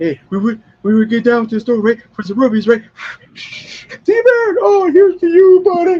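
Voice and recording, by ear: Doing a put-on character voice, a man speaks at a moderate pace with extremely high pitch and very wide pitch swings.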